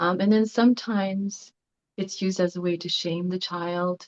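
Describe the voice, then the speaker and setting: Soft-spoken and fairly low-pitched, a woman talks at a fairly slow pace. Her intonation is fairly even, and the sound is dry and close with no echo. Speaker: class participant. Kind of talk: group discussion sharing.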